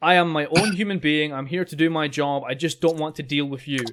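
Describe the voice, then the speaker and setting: In a very clean recording with a silent background, a man with a fairly high pitch speaks at a fairly quick pace with ordinary pitch variation. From Scotland. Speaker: podcast host. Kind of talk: casual chat. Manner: animated.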